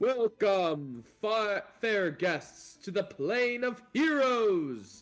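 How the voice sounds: In a put-on character voice with very wide pitch swings, the speaker goes at a very slow pace with hardly any pauses over faint music in the background. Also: man, high pitch for a man.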